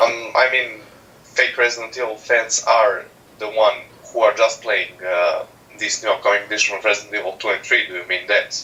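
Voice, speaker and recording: Over noticeable background noise, a man with a non-native accent talks at a moderate pace. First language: not English. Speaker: caller on a live stream. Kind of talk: casual chat. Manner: halting.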